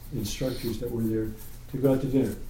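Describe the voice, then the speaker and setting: Through audible room echo, a man with an American accent speaks in a somewhat breathy, monotone, flat way. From New York. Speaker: Torah study group leader. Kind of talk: group Bible study discussion.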